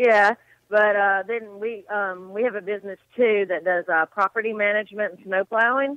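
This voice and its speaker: At a moderate pace, a woman speaks in a medium pitch. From US South. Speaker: country music fan. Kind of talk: casual chat.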